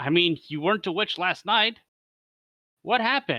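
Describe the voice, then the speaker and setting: Over a quiet background, a man does a put-on character voice with a high pitch at a moderate pace. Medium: read story.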